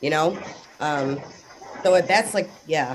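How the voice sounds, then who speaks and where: A woman speaks at a fairly slow pace with ordinary pitch variation. Noticeable background noise can be heard. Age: 30s. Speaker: discussion group participant. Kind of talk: casual group discussion. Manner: animated.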